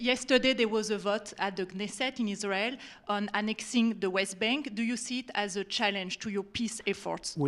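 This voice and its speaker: The voice moves at a moderate pace with fairly even intonation in a French accent. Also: woman, fairly high pitch for a woman. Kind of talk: formal, journalistic question.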